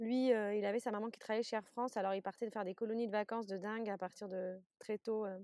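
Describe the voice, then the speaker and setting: A woman's very fast speech, dark and mellow in tone, with monotone, flat intonation. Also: fairly high pitch for a woman, dry, close sound with no echo. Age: 30s. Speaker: fertility doula. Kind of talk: interview conversation.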